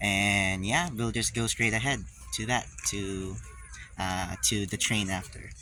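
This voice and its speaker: A man at a fairly slow pace with noticeable background noise. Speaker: travel vlogger. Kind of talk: casual vlog narration. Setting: outdoors and on trains. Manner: hesitant, many fillers.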